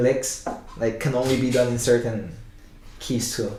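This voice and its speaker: A man speaks with a non-native accent in a monotone, flat intonation. Noticeable background noise and audible room echo surround him. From Spanish-speaking country, Cantonese-speaking family. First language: Spanish and Cantonese. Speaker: guitarist. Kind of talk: casual interview. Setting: sitting together in person. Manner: halting with fillers.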